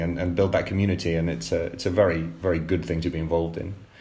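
A man is talking. His pace is very fast. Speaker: book editor and co-author, host. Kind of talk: panel discussion.

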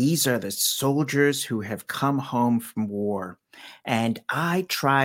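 A normal speaking voice with an American accent and lively intonation, in a very clean recording with a silent background. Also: man. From Washington, D.C. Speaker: storyteller. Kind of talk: casual chat; storytelling.

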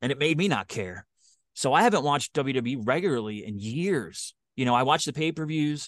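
Speaking at a medium pitch with a Philadelphia accent, a man uses lively intonation in a dry, close sound with no echo. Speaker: podcaster and podcast producer. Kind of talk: casual interview.

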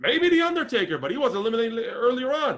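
A man speaks with an Israeli accent. His pitch swings very widely. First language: Hebrew. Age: 30s. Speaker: wrestling podcast co-host. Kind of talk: casual review chat.

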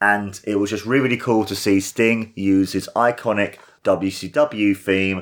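On a very clean recording with a silent background, a man with a British accent speaks fairly slowly, fairly low in pitch, with ordinary pitch variation. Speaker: wrestling podcaster. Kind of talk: solo review podcast. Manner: animated.

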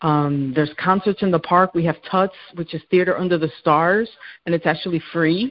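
This woman has a normal speaking voice with a fairly low pitch. She keeps a moderate pace and ordinary pitch variation. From New York City. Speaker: realtor. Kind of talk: casual interview.

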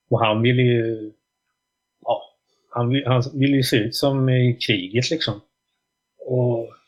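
A man at a very slow pace with long, frequent pauses, medium-pitched and somewhat breathy, his intonation fairly even and his loudness very even. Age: 40s. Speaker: drummer and music journalist. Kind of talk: casual interview chat.

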